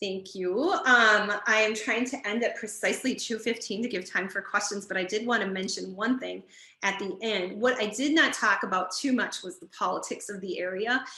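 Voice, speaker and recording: With hardly any pauses, a woman talks at a fairly high pitch. Her pitch variation is ordinary. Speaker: library director. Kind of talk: webinar presentation. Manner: fast.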